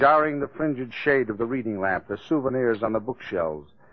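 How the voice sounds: The recording carries a natural reading voice.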